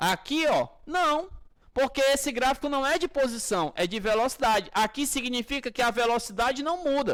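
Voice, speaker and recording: A man with a Brazilian accent speaks in an extremely high pitch at a moderate pace. His pitch varies in an ordinary way, in a very clean recording with a silent background. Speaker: physics teacher. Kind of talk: lecture. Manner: animated.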